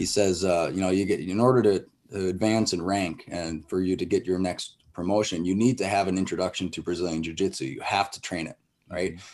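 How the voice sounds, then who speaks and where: A man with an Upper Midwest accent and a very deep, low pitch, at a fairly quick pace with fairly even intonation, on a very clean recording with a silent background. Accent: Upper Midwest American. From northern Wisconsin. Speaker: martial arts school owner. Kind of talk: casual interview.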